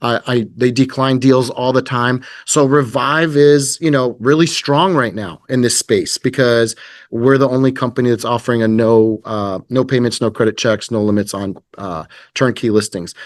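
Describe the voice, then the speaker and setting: Against a quiet background, a man talks at medium pitch and a moderate pace, his pitch varying in an ordinary way. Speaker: company representative presenting to real estate agents. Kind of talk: business presentation with sales pitch. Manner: hesitant, many fillers.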